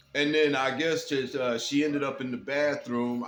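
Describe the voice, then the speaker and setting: Over noticeable background noise, a man with an American accent talks at a moderate pace in a monotone, flat intonation. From Detroit, US Midwest. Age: 60s. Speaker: commentary vlogger. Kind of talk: casual monologue commentary. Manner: hesitant, many fillers and repeats.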